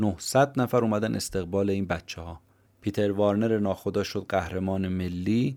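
Fairly low in pitch with ordinary pitch variation, a man speaks at a fairly slow pace in a dark, mellow tone. The recording is very clean, with a silent background. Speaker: podcast host summarizing books. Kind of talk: scripted narration.

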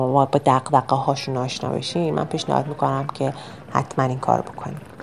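A woman speaks at a moderate pace. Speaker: travel podcast narrator. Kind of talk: travelogue narration. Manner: casual conversational.

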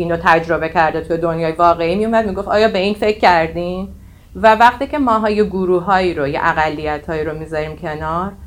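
A woman with a fairly low voice talks very fast, her pitch varying in an ordinary way. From Iran, Tehran. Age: 40s. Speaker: AI technology leader. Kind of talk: casual interview. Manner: halting.

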